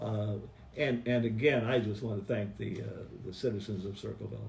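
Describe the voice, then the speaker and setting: A man with a Midwestern American accent speaks at a medium pitch with ordinary pitch variation, amid audible room echo and noticeable background noise. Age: 70s. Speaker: city mayor. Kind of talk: press conference Q&A. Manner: halting, many fillers.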